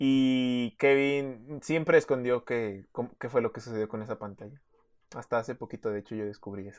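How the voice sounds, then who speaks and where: With a Mexican accent, a man speaks at medium pitch and a moderate pace, his loudness swinging widely, over a quiet background. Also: ordinary pitch variation. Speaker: podcast co-host. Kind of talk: casual chat.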